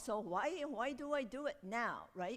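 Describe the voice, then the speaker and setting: A woman's high voice swings very widely in pitch. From Japan. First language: Japanese. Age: 60s. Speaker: storyteller and performer. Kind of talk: interview Q&A. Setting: art gallery with audience. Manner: halting.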